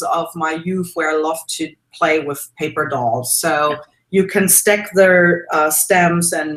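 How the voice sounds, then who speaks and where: A woman with a German accent speaks at a fairly slow pace and a fairly low pitch, with fairly even intonation and hardly any pauses. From Germany. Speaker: mixed media artist and art teacher. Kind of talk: casual interview. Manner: hesitant with many fillers.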